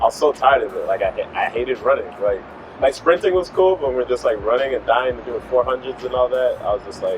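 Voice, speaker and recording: With an American accent, a man speaks at a very fast pace. Noticeable background noise can be heard. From Chicago, US Midwest. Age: 30s. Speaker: fitness travel creator. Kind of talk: interview. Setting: in Thailand.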